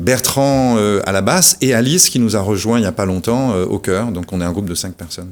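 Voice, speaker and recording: A man at a fairly quick pace, fairly low in pitch, with ordinary pitch variation. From Réunion. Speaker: musician, band founder. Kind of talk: radio interview. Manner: hesitant, many fillers.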